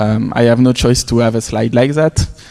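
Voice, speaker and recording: A man with a French accent at a fairly quick pace, his intonation fairly even. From Quebec City, Canada. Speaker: conference speaker, tech professional. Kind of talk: conference talk. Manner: hesitant, many fillers.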